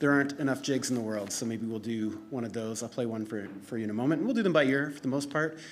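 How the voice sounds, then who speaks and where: A man with a strong Canadian accent talks amid audible room echo. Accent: thick Canadian. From Canada. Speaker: fiddle instructor. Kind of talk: live self-introduction.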